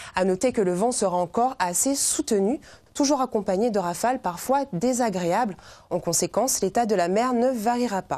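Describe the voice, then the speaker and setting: This woman speaks at a moderate pace with a fairly high pitch, ordinary pitch variation, very even loudness and a dark, mellow tone. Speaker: TV weather presenter. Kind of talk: TV weather report, read to camera in polished, formal French. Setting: TV studio. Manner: formal; even, measured, steady pace. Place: studio. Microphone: lapel.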